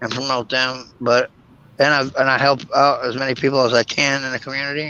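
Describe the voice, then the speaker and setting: Bright and sharp in tone, the voice moves at a fairly quick pace with monotone, flat intonation. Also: man. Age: 50s. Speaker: YouTube creator. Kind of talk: casual chat.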